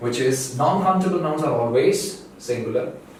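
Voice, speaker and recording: A man talks at a fairly slow pace with lively intonation and a fairly high pitch. Noticeable background noise and audible room echo fill the recording. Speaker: English teacher. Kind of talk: tutorial.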